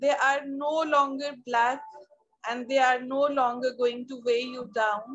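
A woman's high, calm and soothing voice, flat and monotone, at a fairly slow pace over a quiet background. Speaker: meditation guide. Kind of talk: guided meditation. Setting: video call. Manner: slow, calm, soothing. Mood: calm, soothing, smiling. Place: home room. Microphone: video call.

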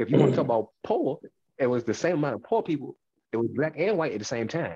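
The dark, mellow tone carries lively intonation over a quiet background. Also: man. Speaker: podcast co-host. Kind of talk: casual podcast rant. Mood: annoyed but joking. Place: home room. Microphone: headset.

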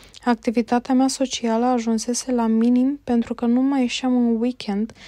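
A woman's calm, high-pitched voice with a dark, mellow tone and monotone, flat intonation, dry and close with no echo, in a very clean recording with a silent background. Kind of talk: audiobook narration. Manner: slow, even, calm reading pace.

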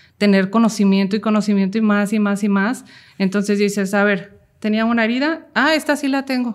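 A woman with a normal speaking voice, fairly high in pitch, at a moderate pace with ordinary pitch variation. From Mexico, Jalisco (Cocula). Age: 30s. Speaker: mental health content creator. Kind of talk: personal testimony interview.

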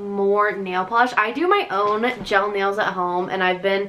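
A woman's fairly slow delivery over faint background noise. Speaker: lifestyle vlogger. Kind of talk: casual vlog chat. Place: home room. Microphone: camera far.

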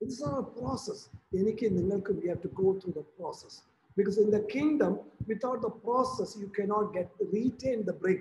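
A high-pitched male voice with ordinary pitch variation over light background noise. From Kerala, India. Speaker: preacher. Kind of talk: sermon. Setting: video call. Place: home room. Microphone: webcam.

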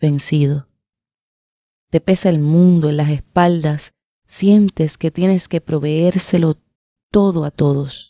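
At a very slow pace, a woman with a fairly low pitch and a dark, mellow tone speaks with ordinary pitch variation, in a dry sound with no echo over a quiet background. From Puerto Rico. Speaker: writer and poet; poet. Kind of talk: reading aloud. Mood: calm, somber, intimate. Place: studio. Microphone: studio mic.

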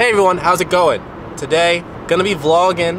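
A man's voice comes through dry and echo-free, with noticeable background noise around it. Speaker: vlogger driving. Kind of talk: casual vlog chat. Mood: playful, joking. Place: car. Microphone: phone near.

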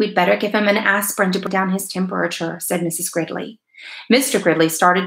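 In an unforced reading voice, the speaker keeps a fairly even intonation.

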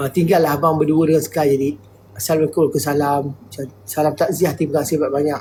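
A very fast, somewhat breathy delivery with a dark, mellow tone and fairly even intonation. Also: man, fairly high pitch for a man. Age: 50s. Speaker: livestreamer. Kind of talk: live stream chat. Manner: halting.

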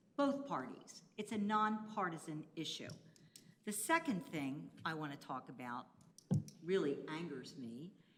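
Audible room echo surrounds the voice. The pitch swings very widely at a fairly slow pace. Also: woman, fairly low pitch for a woman. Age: 60s. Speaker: retired teacher, public commenter. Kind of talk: public comment at council meeting. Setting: county commissioners meeting.

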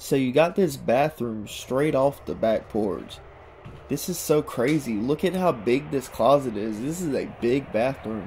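A man at a fairly slow pace with lively intonation, light background noise behind him. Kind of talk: casual vlog commentary. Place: bathroom. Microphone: phone near.

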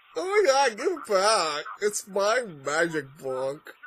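A put-on character voice, whiny and middle-pitched, with very wide pitch swings, a fairly slow pace and light background noise. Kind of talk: excited reaction commentary. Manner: whiny, bratty.

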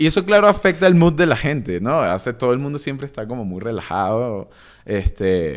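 A man at medium pitch, very wide pitch swings and a fairly quick pace, against a quiet background. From Venezuela, Caracas. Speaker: music producer and DJ; DJ. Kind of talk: casual interview chat. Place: studio. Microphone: studio mic.

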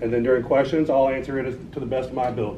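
A man with an American accent talks at a very fast pace amid noticeable background noise. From Oklahoma (Watonga, northwest). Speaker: political campaign director. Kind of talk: talk and Q&A at political meeting. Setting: meeting room with audience. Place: meeting room. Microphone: camera far.

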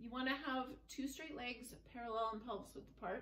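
Over light background noise and audible room echo, a woman with a high-pitched voice speaks with fairly even intonation. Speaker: fitness instructor. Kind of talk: guided floor movement class with relaxation cues. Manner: calm, clear, step-by-step instructions in an even, soothing pace; soft and gentle when guiding relaxation. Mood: calm, gentle. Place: home room. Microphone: camera far.

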